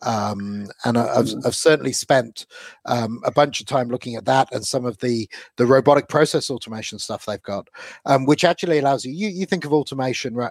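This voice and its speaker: A normal speaking voice from a man, medium in pitch with ordinary pitch variation, at a fairly quick pace, dry and close with no echo. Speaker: podcast host. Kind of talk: casual chat.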